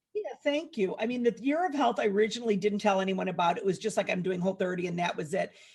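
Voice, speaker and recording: Against noticeable background noise, a woman rushes along at a very fast pace with hardly any pauses, her medium-pitched voice carrying lively intonation. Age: 60s. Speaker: food blogger and cookbook author. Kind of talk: podcast interview.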